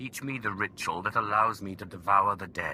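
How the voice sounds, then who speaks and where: Over clear background noise, a man puts on a character voice at a fairly low pitch with a confident tone. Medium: video game. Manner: firm, confident.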